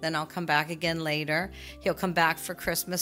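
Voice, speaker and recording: A woman's fairly low-pitched voice at a fairly quick pace, with music in the background. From Canada. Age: 60s. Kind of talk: interview answer.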